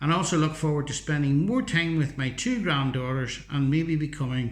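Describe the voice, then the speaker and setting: In a Northern Irish accent, a man with a fairly high, somewhat breathy voice speaks at a moderate pace. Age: 60s. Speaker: teacher and YouTuber. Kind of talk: vlog monologue.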